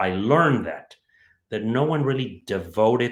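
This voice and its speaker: The speaker has a Spanish accent. The pace is moderate. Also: man. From Mexico City. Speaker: home builder, entrepreneur. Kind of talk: interview. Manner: halting.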